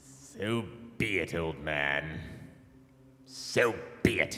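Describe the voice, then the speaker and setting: A man uses a put-on character voice with a very deep, low pitch, speaking at a very slow pace with a clear echo. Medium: stage play. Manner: gloating, menacing, drawn out.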